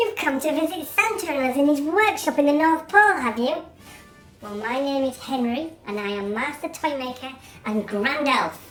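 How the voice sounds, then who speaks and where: This put-on character voice moves at a moderate pace, with clear music in the background. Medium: short film. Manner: cheerful, chatty.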